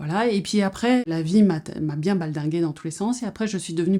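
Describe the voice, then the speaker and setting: The recording is very clean, with a silent background. A woman speaks with a fairly low pitch, ordinary pitch variation, and a dark, mellow tone. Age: 60s. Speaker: psychotherapist. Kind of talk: personal introduction monologue. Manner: hesitant, with frequent fillers.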